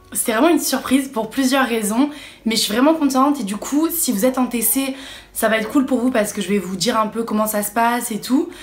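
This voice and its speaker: Talking at a fairly quick pace, a woman uses a high voice with ordinary pitch variation. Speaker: vlogger, student. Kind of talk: casual vlog.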